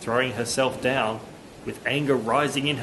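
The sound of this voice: The text is read aloud. It uses an unforced reading voice.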